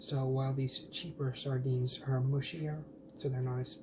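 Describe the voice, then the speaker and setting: Someone speaks quietly at a moderate pace, with noticeable background noise behind the voice. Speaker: food vlogger. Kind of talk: casual cooking vlog. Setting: home kitchen.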